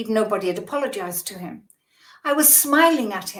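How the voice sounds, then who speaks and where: A woman in a British accent speaks with ordinary pitch variation amid audible room echo. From Britain. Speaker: spiritual teacher. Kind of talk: podcast interview.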